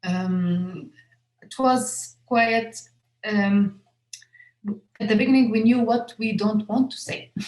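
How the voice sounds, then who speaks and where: Somewhat breathy speech in an Arabic accent comes at a very slow pace with ordinary pitch variation. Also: woman. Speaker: filmmaker. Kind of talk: interview Q&A. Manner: halting, many fillers and repetitions.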